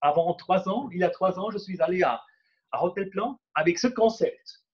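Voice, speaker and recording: With a Swiss German accent, a man speaks at a fairly slow pace. His voice is high-pitched, with ordinary variation. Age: 40s. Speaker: entrepreneur and speaker. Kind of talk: workshop presentation. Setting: conference room with live and online audience. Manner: halting, many fillers and repetitions.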